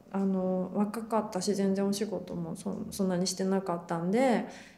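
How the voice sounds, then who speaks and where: Someone speaks at a fairly slow pace amid noticeable background noise and audible room echo. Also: woman. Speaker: actor. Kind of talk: casual interview.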